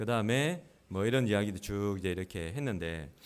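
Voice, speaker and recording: Talking at a fairly quick pace, a man with a fairly low pitch keeps a calm tone while his pitch swings very widely. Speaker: pastor. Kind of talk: sermon. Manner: raised pitch when preaching.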